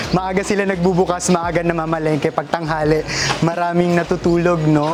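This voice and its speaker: Monotone, flat intonation comes at a fairly quick pace over noticeable background noise. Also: woman. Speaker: real estate vlogger. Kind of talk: walking tour vlog. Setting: outdoors at a market. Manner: quiet, lowered voice.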